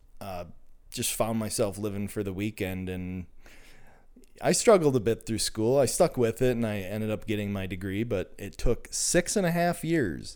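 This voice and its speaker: On a very clean recording with a silent background, a man with an American accent speaks at a moderate pace in a medium pitch with ordinary pitch variation. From Minnesota. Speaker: mechanical engineer and podcast listener. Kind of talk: personal testimony. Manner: halting, many repetitions and fillers.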